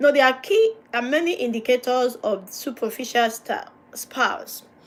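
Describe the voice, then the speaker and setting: With a non-native accent, a woman speaks at a fairly slow pace in a high pitch with lively intonation. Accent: noticeable non-native. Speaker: pastor and marriage counsellor. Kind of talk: livestream teaching on marriage.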